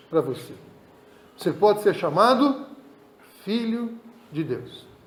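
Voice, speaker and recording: A high-pitched male voice with audible room echo. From Brazil. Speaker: pastor. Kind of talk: sermon.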